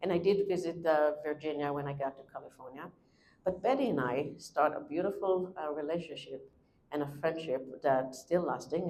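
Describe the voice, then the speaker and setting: Her pitch is very deep and low for a woman. She keeps a moderate pace with fairly even intonation. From Israel. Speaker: traveler and author. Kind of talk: presentation talk. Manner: halting.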